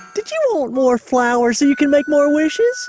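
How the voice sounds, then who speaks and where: A cartoonish character voice, pitched high and swinging very widely in pitch, moves at a moderate pace over faint background music. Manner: genteel, chatty.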